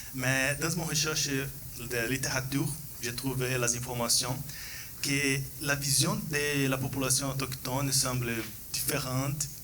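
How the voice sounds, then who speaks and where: Amid noticeable background noise and audible room echo, a man with a non-native accent speaks at a very slow pace in a medium pitch, with monotone, flat intonation and very even loudness. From Brazil. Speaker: PhD researcher. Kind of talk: conference Q&A. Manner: halting.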